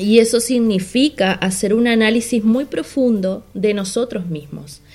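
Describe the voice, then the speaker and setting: This woman has an ordinary speaking voice, fairly high in pitch, moving at a fairly slow pace with ordinary pitch variation. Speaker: podcast co-host, business coach. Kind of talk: casual talk show chat and advice segments.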